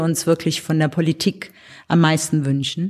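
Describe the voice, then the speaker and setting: A woman's ordinary speaking voice, fairly low in pitch, with fairly even intonation. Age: 60s. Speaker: artist and cultural association organizer. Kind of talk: interview.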